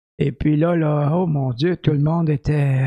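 A man's dark, mellow voice at a fairly high pitch and a moderate pace. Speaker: podcast co-host. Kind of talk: casual chat.

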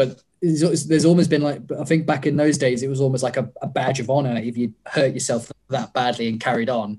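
At a fairly quick pace, a man talks in a dark, mellow tone with ordinary pitch variation. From southern England. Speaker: wrestler. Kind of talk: casual chat.

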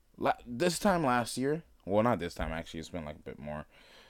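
A man speaks fairly quickly in a fairly low voice. His pitch swings very widely. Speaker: solo podcaster. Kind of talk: casual chat. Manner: casual, rambling with fillers.

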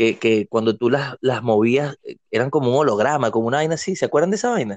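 A man with a normal speaking voice talks at a fairly quick pace with lively intonation. The sound is dry and close, with no echo and a quiet background. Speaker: podcast co-host. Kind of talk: casual chat.

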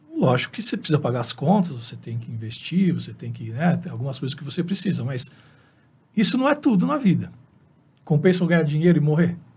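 The speaker talks at a very fast pace with lively intonation, big swings in loudness, and vocal fry. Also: man, fairly high pitch for a man. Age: 50s. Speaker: veterinarian. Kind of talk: interview.

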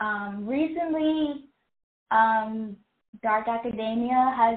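A woman with a Chicago accent speaks at a fairly high pitch with ordinary pitch variation. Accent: Chicago American English. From Chicago, Illinois, US. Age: 20s. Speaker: writer and social media creator. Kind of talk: casual interview.

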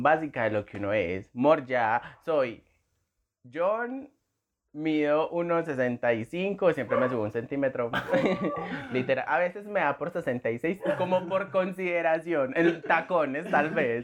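Lively intonation marks this man's fairly high-pitched voice. He speaks at a very slow pace. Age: 20s. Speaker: podcast co-host, graphic designer. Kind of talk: casual chat.

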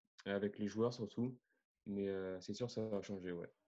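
A man's dark, mellow voice, fairly low in pitch, at a moderate pace with fairly even intonation. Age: 20s. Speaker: tennis podcaster and coach. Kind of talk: interview.

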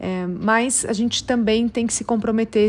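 This is a woman's voice in a very clean recording with a silent background. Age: 40s. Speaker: business executive. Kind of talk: recorded testimony.

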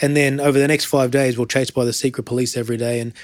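Very fast and monotone with flat intonation, a man talks in an Australian accent. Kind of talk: interview.

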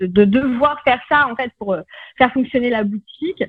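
Her voice is an unremarkable speaking voice, with a woman speaking at a fairly high pitch and lively intonation. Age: 40s. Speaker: naturopath. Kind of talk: interview.

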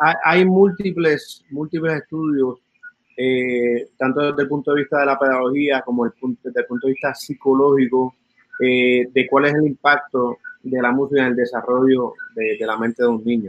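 Here is a man with an ordinary speaking voice at medium pitch. He talks at a moderate pace with ordinary pitch variation. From Puerto Rico. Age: 50s. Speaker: musician and music educator. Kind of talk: interview.

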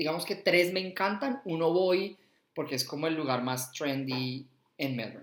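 This man has an unremarkable speaking voice with a fairly high pitch. His intonation is lively and his pace moderate. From Colombia, Bogotá. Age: 30s. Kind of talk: casual interview chat.

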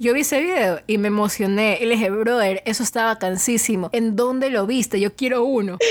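Against noticeable background noise, a woman with a fairly high pitch and ordinary pitch variation talks at a fairly quick pace with hardly any pauses. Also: very even loudness. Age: 20s. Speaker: podcast co-host. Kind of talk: casual chat.

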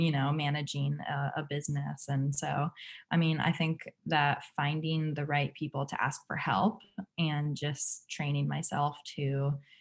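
In an American accent, a woman with a very deep, low pitch speaks somewhat breathily at a fairly slow pace with monotone, flat intonation, on a very clean recording with a silent background. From US Northeast, New Hampshire seacoast. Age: 20s. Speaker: fashion entrepreneur, recent graduate. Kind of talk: interview.

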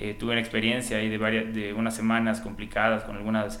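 A man with a bright, sharp tone and a Yucatecan accent, in a room with audible echo. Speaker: energy official. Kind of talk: casual interview.

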